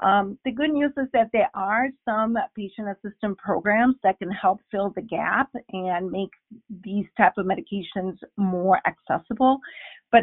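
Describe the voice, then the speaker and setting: Pitch variation stays ordinary. The delivery is fairly slow. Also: woman. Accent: Spanish. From Bolivia. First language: Spanish. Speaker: allergist, physician. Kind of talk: interview.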